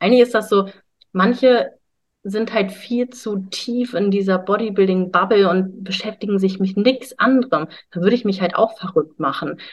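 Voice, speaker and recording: Her voice is somewhat breathy and medium in pitch, as this woman speaks at a moderate pace with ordinary pitch variation. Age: 20s. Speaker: bodybuilder and health coach. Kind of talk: casual interview.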